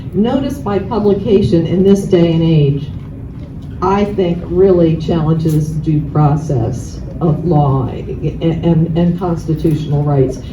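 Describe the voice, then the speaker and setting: A woman talks at a very slow pace in a fairly low pitch. Room echo is audible, and there is noticeable background noise. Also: ordinary pitch variation. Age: 60s. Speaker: land use attorney. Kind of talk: public meeting talk.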